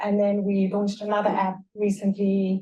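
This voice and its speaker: A woman's somewhat breathy, medium-pitched voice moves along at a moderate pace. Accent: South African. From South Africa. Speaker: tech founder and sports psychologist. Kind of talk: panel discussion.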